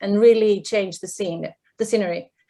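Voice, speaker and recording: Speaking with a non-native accent, a woman keeps a moderate pace. Her pitch varies in an ordinary way. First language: not English. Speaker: professor. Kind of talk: panel discussion. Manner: hesitant, many fillers.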